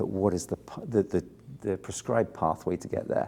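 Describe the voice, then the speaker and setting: A man with an English accent speaks at a moderate pace. His voice is fairly low in pitch, dark and mellow in tone, with fairly even intonation. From southern England, Bournemouth. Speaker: film composer. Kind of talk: interview.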